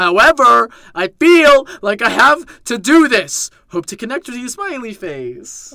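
A put-on character voice, raised and projected, fairly high in pitch, at a fairly slow pace with hardly any pauses. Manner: creepy.

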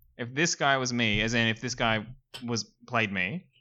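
A man with a plain, everyday voice speaks at a medium pitch. His pace is moderate and his pitch variation ordinary. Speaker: podcast co-host. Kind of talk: casual comedy banter.

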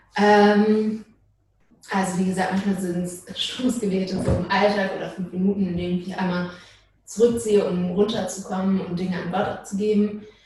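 A woman talks in a monotone with flat intonation, and the room echo is audible. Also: medium pitch for a woman, moderate pace. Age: 20s. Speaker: social work student, church member. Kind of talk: casual interview.

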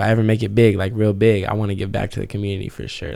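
This man speaks at a fairly low pitch in a flat monotone, his tone dark and mellow. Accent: American. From Southern California (Ventura/Oxnard). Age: 20s. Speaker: event promoter and MC. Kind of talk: casual interview chat.

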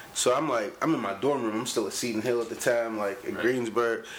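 Fairly quick male speech with noticeable background noise. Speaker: rapper. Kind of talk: casual chat. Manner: aggressive tone.

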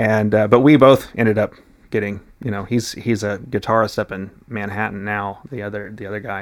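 A man with an American accent talks fairly quickly at a fairly low pitch, his intonation monotone and flat but his loudness swinging widely. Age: 30s. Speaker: classical guitarist and music teacher. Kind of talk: casual interview. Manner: halting, many fillers and restarts.

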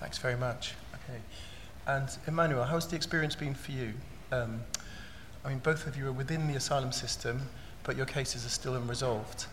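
Against noticeable background noise, the speaker goes at a fairly quick pace with fairly even intonation and long, frequent pauses. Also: man, medium pitch for a man. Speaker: panel facilitator. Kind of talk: moderated panel discussion.

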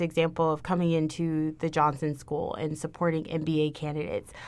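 A woman with an American accent, fairly low-pitched, in an unremarkable speaking voice at a moderate pace, on a very clean recording with a silent background. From Texas, Houston. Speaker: university diversity administrator. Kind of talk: casual interview.

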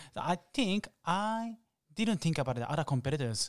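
Speaking with a Japanese accent, a man talks at a fairly quick pace with very wide pitch swings. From Japan, Osaka. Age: 30s. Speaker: latte art champion and barista. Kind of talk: interview. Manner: halting.

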